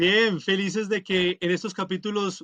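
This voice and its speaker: Raised and projected, a man's high-pitched voice has a bright, sharp tone and a monotone, flat intonation at a moderate pace, recorded with a dry, close sound with no echo. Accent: Colombian. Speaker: podcast co-host. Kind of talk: casual podcast chat.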